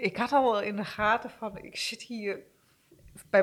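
A woman talks with a fairly high pitch. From eastern Netherlands. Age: 50s. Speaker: guest sharing personal struggle. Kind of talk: testimony. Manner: halting.

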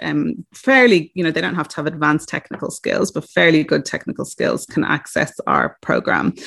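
Here a woman speaks with a very deep, low pitch and vocal fry. She talks at a moderate pace against a quiet background. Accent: Irish. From Ireland. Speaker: recruitment business founder. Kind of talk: interview.

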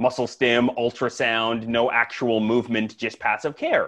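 A man with a Canadian accent speaks at a medium pitch with monotone, flat intonation. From Canada, Saskatoon. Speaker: chiropractor. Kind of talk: casual chat. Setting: in person.

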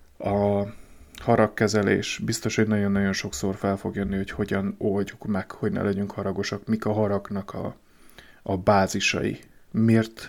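Over a silent background in a very clean recording, a man speaks in a flat monotone at a fairly low pitch and a fairly slow pace. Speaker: podcaster on emotional wellbeing. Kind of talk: solo podcast monologue. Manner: halting.

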